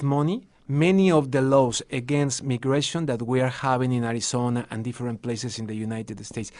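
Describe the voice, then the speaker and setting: A man with a Mexican accent talks at a moderate pace and a medium pitch over a quiet background. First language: Spanish. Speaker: TV and radio journalist. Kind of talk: radio interview. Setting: studio. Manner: halting, repeats words.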